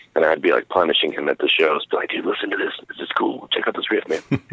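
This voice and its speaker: This is a man speaking with an American accent. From US Pacific Northwest (Oregon, Idaho). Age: 30s. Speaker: metal musician and record label owner. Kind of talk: interview. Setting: phone call.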